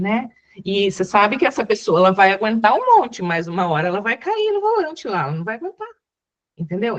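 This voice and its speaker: At a moderate pace, a woman speaks with a fairly high pitch that moves in very wide swings. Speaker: psychologist, webinar speaker. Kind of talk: webinar talk. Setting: online webinar.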